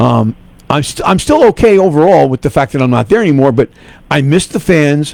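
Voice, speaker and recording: With an American accent, a man speaks at a fairly high pitch and fairly quick pace, his intonation lively and the sound dry and close with no echo. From New York (Bronx). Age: 60s. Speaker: radio host. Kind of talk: casual chat.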